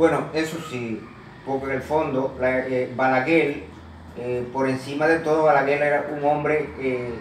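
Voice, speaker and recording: Speaking at a fairly slow pace, a man with a fairly high-pitched voice keeps a fairly even intonation, with noticeable background noise and audible room echo. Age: 60s. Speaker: interviewee. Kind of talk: interview. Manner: halting, many fillers.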